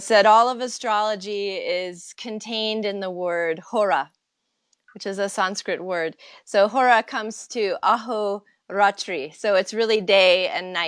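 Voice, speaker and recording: A woman speaks at a medium pitch and a fairly slow pace. Her pitch variation is ordinary, and the background is quiet. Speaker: astrologer. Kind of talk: interview. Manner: calm.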